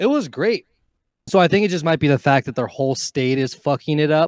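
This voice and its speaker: A man with an American accent talks fairly quickly in a plain, everyday voice, fairly high-pitched and with lively intonation. The sound is dry and close with no echo, on a very clean recording with a silent background. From Nevada, Carson City. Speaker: DJ/electronic music artist. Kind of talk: casual chat.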